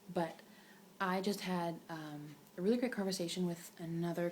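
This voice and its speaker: A soft-spoken woman talks at a fairly low pitch with fairly even intonation. Noticeable background noise and audible room echo come through. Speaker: direct sales consultant vlogger. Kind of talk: casual vlog talk. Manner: quiet, soft-spoken; rambling, many fillers.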